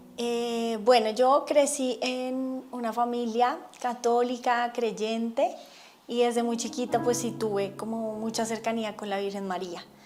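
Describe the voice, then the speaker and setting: Over noticeable background noise, a woman speaks fairly slowly in a fairly high voice with fairly even intonation. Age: 40s. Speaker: religious testimony speaker. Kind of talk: testimony.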